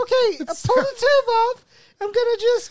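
Squeaky and pitched extremely high, the voice is a put-on character. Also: moderate pace. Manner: motherly.

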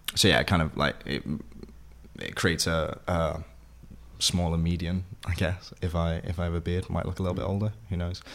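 A man speaks in a South Wales accent. His pitch is very deep and low. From Wales, Vale of Glamorgan (Sully, near Penarth). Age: 20s. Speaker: actor. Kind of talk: interview.

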